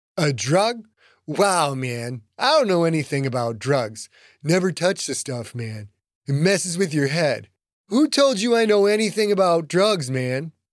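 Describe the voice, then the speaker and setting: A man's put-on character voice, high-pitched and drawling at a moderate pace, on a very clean recording with a silent background. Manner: laid-back hippie drawl, says man constantly.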